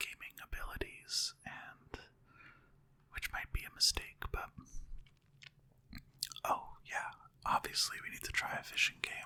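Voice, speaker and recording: The speech is whispered at a fairly slow pace. Long, frequent pauses break it up. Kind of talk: relaxed gaming commentary, let's play.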